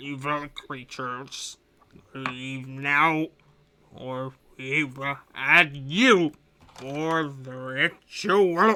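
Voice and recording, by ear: A put-on, cackling character voice at a low-to-middle pitch creeps along at a very slow pace with long, frequent pauses.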